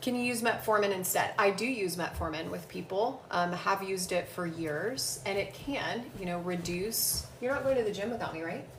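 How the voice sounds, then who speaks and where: A woman with a medium pitch talks at a moderate pace with lively intonation and hardly any pauses, amid audible room echo and noticeable background noise. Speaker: physician assistant answering health questions. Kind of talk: casual live Q&A. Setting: livestream at home. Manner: loud.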